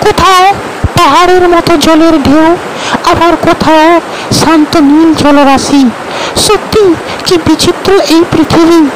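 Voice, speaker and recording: A cartoonish character voice at an extremely high pitch, fairly slow in pace, over loud background noise. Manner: wondering, friendly.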